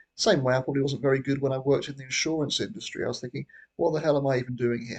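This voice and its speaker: Somewhat breathy, a man speaks at a fairly high pitch and a very fast pace. His pitch variation is ordinary. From Britain. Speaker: YouTuber. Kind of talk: casual monologue. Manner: halting.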